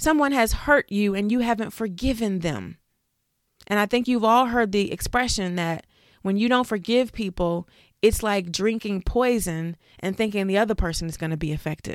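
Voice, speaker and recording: A woman uses an ordinary speaking voice. She keeps a moderate pace with ordinary pitch variation. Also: medium pitch for a woman. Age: 40s. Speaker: life coach and podcast host. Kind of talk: motivational monologue.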